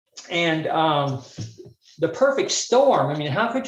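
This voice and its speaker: A man speaks with an American accent and very wide pitch swings. There is audible room echo. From US South, Birmingham, Alabama. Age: 60s. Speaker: mental health speaker. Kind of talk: workshop talk. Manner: halting, many fillers.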